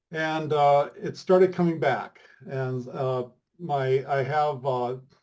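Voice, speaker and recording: Somewhat breathy, with a dark, mellow tone, a man with a fairly high pitch speaks with fairly even intonation. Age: 70s. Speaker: testimonial guest. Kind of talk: testimony. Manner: halting.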